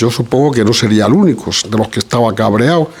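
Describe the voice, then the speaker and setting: A man's intonation rises and falls in a lively way, with noticeable noise behind him. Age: 60s. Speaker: audience member. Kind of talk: audience discussion. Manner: hesitant, many fillers.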